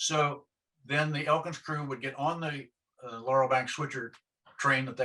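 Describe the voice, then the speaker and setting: A man with an American accent speaks at a moderate pace in a medium pitch, his tone bright and sharp and his intonation fairly even. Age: 60s. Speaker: retired railroader. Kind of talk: oral history interview answer.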